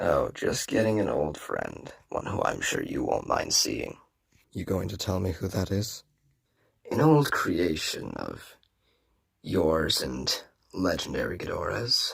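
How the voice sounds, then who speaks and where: The speaker puts on a character voice and talks at a fairly slow pace. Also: man. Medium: audio drama. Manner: smug, gloating.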